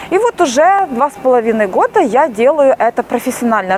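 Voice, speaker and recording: Noticeable background noise sits under the speech. Its intonation is lively and its tempo moderate. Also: woman. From Ukraine. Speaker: YouTube vlogger. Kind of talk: casual vlog monologue. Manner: hesitant, many filler sounds.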